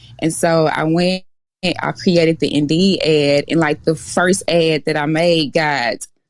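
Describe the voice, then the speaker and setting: Very even loudness at a fairly slow pace with a Mississippi accent. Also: woman, very deep, low pitch for a woman. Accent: Southern US (Mississippi). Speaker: dispatch company owner. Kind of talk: podcast interview. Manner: animated.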